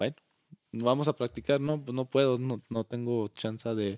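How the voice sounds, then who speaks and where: This man has an ordinary speaking voice with a medium pitch. He speaks at a fairly slow pace with fairly even intonation. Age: 20s. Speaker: charro, business owner. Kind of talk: interview.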